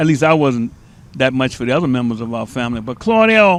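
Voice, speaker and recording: The man's intonation is lively. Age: 80s+. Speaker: community pioneer. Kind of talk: interview. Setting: live TV studio. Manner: halting.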